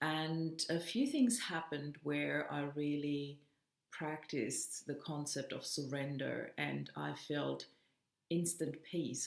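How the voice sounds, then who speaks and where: In a non-native accent, this voice moves at a very slow pace with a warm tone and fairly even intonation. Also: woman. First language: not English. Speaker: self-development coach. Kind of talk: motivational vlog monologue. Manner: warm, casual with fillers.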